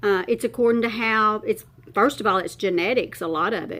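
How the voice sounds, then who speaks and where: A woman uses a normal speaking voice, fairly high in pitch with lively intonation. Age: 60s. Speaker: beauty vlogger. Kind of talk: makeup tutorial chat. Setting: at her makeup table, filming herself.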